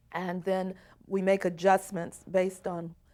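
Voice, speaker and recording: A woman in an American accent, with a fairly low pitch and an ordinary speaking voice, talks at a moderate pace on a very clean recording with a silent background. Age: 60s. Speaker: social services administrator. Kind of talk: interview testimony.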